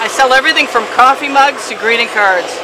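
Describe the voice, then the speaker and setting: Over noticeable background noise and audible room echo, a woman speaks fairly quickly in a high pitch with fairly even intonation. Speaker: fluid acrylic artist. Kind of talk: tutorial. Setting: outdoor backyard art studio. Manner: stumbling, with filler ums.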